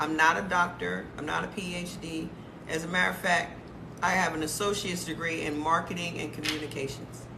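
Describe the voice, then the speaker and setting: A woman with a fairly low pitch speaks at a fairly quick pace in an animated tone. The recording carries audible room echo and noticeable background noise. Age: 50s. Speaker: lifestyle and health talk creator. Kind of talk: casual livestream talk.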